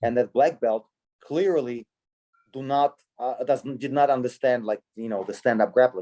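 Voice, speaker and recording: In a dry, close sound with no echo, a man speaks at a medium pitch and moderate pace in a dark, mellow tone with ordinary pitch variation. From Russia. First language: Russian. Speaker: sambo coach. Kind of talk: casual interview chat. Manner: halting, many fillers and restarts.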